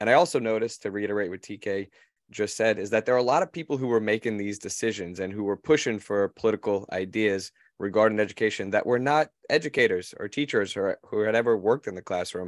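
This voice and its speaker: Very fast and fairly low in pitch, a man talks with ordinary pitch variation on a very clean recording with a silent background and a dry, close sound with no echo. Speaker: teacher. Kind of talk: casual chat.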